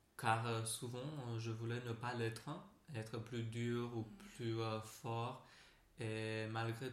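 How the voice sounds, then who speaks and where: A man with a Romanian accent, very slow and monotone, with long, frequent pauses, audible room echo and noticeable background noise. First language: Romanian (speaking French). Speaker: massage therapist. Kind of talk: casual interview. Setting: vaulted cellar massage room. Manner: halting.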